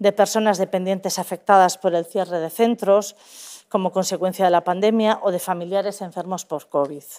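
A fairly quick woman's voice at medium pitch, fairly even in intonation, over a quiet background. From Basque Country. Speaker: government official; public presenter. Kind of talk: formal presentation. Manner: formal. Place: hall.

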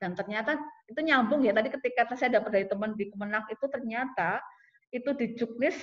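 Against a quiet background, a woman uses an ordinary speaking voice at a fairly high pitch, talking at a fairly quick pace with ordinary pitch variation. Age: middle-aged. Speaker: sociology department head; webinar presenter, lecturer. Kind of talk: lecture. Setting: video call. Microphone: video call.

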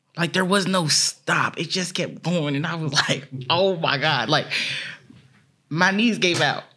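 A woman with a fairly low pitch and a bright, sharp tone speaks at a fairly slow pace with ordinary pitch variation. Her delivery is animated, with long, frequent pauses. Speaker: discus thrower, world champion athlete. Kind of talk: casual interview. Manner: animated, excitable. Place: studio. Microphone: studio mic.

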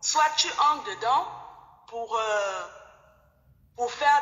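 Audible room echo surrounds a woman speaking at a fairly slow pace with a fairly high pitch. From Cameroon. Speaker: caller. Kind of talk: testimony. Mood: reflective, sometimes amused. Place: home room. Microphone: phone near.

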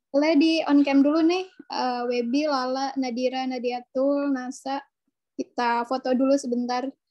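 Against a quiet background, a woman speaks at a high pitch and a fairly slow pace in a dark, mellow tone with fairly even intonation. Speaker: webinar moderator. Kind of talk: webinar moderation. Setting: video call, working from home. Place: home room. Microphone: video call.

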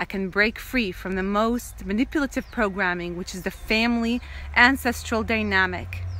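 A woman talks at a moderate pace with big swings in loudness. The sound is dry, with no echo. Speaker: spiritual vlogger. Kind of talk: casual vlog chat, spiritual message. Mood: earnest, intense. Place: open country. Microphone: phone near.

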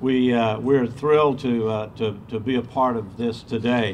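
With a Southern US accent, a man talks in fairly even intonation against light background noise. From US South, Georgia. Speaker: state tourism official. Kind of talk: ceremony speech. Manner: halting, repeats words. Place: street. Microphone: podium.

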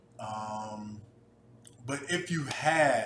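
A man with an American accent, audible room echo and light background noise. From New Jersey, US. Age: 20s. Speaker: vlogger. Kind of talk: personal vlog monologue. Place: kitchen. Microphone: webcam.

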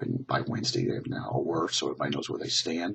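A man's vocal fry and very wide pitch swings at a fairly quick pace. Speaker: college English instructor. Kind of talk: class update video. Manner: casual, conversational.

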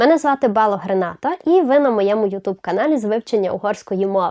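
A fairly high-pitched woman with a Hungarian accent, at a fairly quick pace with lively intonation, music in the background. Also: dry, close sound with no echo. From Zakarpattia, western Ukraine. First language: Hungarian (speaking Ukrainian). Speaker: language teacher, YouTuber. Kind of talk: channel introduction video.

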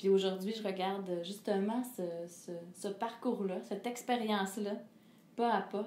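A woman talks at a fairly slow pace with flat, monotone intonation. Room echo is audible. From Quebec. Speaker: singer; interviewee. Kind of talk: interview. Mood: calm, reflective. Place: home room.

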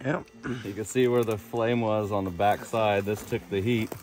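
A man with a plain, everyday voice and fairly low pitch speaks at a moderate pace with fairly even intonation, the dry, echo-free sound carrying light background noise. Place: open country. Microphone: phone near.

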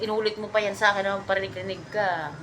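A woman speaks at a very fast pace in an animated tone, her pitch medium, with noticeable background noise. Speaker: vlogger. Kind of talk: casual chat over drinks.

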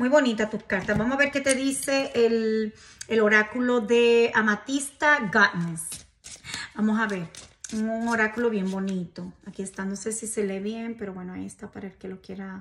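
A woman speaks at a moderate pace in a fairly high, fairly bright voice with fairly even intonation.

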